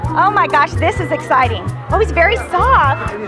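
Loud music plays in the background behind a woman. She speaks at a fairly slow pace, and the sound is dry with no echo. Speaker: TV host and reporter. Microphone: handheld.

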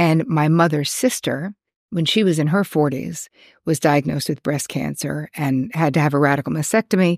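Dry and close with no echo on a very clean recording with a silent background, a woman speaks at a moderate pace in a warm, enthusiastic tone, her very deep, low voice showing vocal fry and ordinary pitch variation. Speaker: psychotherapist and self-help video host. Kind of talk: solo talk to camera, personal story and advice.

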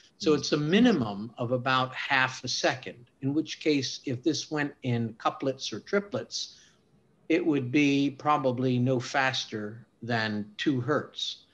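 A man at a very slow pace, with ordinary pitch variation. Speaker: guest. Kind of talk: lecture. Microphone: video call.

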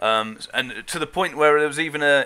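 The voice belongs to a man. It sounds bright and sharp. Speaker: gaming channel host. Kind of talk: casual chat. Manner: rambling, self-described waffler. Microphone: video call.

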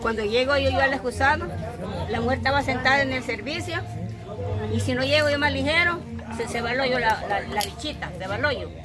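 A woman speaks at a fairly quick pace. Clear music plays in the background. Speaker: storyteller. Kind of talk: interview answer. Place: garden. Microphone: phone near.

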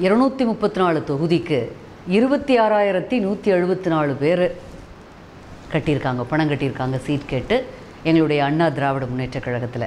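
A woman with a very deep, low pitch speaks in very wide pitch swings against light background noise. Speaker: television news reader and politician. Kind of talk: interview answer. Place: home room.

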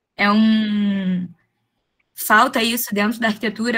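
A woman with a fairly high pitch talks at a fairly slow pace. The background is quiet. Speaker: architecture student, junior architect. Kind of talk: audience question in online lecture. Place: home room. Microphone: webcam.

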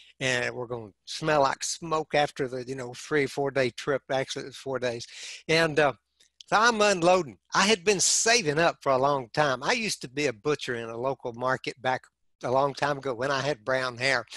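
An animated man with a West Texas accent, a bright, sharp tone and a fairly high pitch, in a dry sound with no echo and a quiet background. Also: ordinary pitch variation, moderate pace. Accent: West Texas Southern US. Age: 60s. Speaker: heart attack survivor. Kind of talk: interview storytelling. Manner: animated humorous storyteller. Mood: relaxed, good-humored. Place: home room. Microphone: headset.

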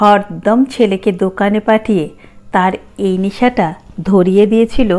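An unforced reading voice, its intonation fairly even

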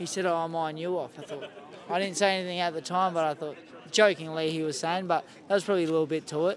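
With an Australian accent, a man speaks at a very fast pace in a fairly high pitch, the sound dry with no echo and light background noise. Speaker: professional boxer. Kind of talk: casual interview. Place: stadium.

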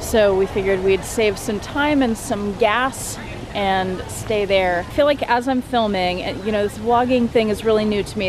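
A woman is recorded with a dry sound and no echo, over noticeable background noise. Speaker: vlogger. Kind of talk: casual vlog chat. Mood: self-conscious, chatty. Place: waterside. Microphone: phone near.

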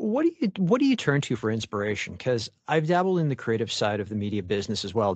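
Against a quiet background, a man talks at a very fast pace in a Canadian accent. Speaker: podcast host. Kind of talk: interview conversation.

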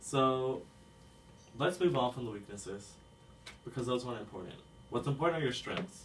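An American-accented man at medium pitch, lively in intonation and fairly quick, with long, frequent pauses and light background noise. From Texas. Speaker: college student mentor. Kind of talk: role-play phone call. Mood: friendly, encouraging. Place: home room.

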